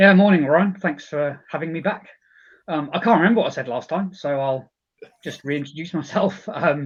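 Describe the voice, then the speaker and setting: With a British accent, a man talks at a moderate pace, his fairly high pitch showing ordinary variation. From United Kingdom. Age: 40s. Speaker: company chief executive. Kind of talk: casual interview chat.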